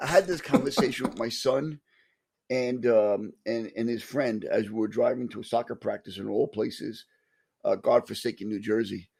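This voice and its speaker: A man with a New York accent at a moderate pace. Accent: New York (Staten Island). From Staten Island, New York. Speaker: podcast co-host, locksmith and EMT. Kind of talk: casual chat.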